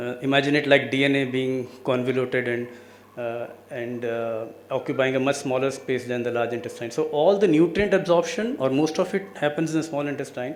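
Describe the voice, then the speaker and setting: A man with an Indian accent at a medium pitch, fairly quick in pace, ordinary pitch variation, amid noticeable background noise and audible room echo. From India, Delhi. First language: Hindi. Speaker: cancer researcher. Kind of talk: lecture.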